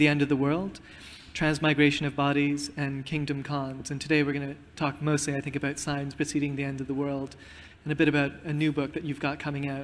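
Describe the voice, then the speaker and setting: A man's fairly high, flat, monotone voice at a fairly quick pace, over light background noise. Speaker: magazine editor and interviewer. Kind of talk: onstage interview. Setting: stage with audience. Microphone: handheld.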